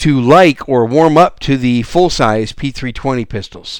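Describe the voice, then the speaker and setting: A man with an American accent in a normal speaking voice, ordinary pitch variation and a fairly slow pace, on a very clean recording with a silent background. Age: 60s. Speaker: gun podcast host. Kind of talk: solo podcast monologue.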